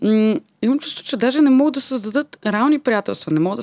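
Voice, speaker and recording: A woman talks at a moderate pace. The sound is dry with no echo, and the background is quiet. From Bulgaria, Varna; Bulgaria. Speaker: podcast host. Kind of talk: casual interview chat. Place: studio. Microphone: studio mic.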